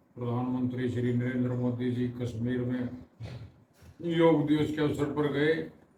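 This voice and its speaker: Echo from the room can be clearly heard. The voice keeps a mostly level intonation. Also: man. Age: 60s. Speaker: vlogger. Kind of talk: motivational talk. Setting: at home in bed.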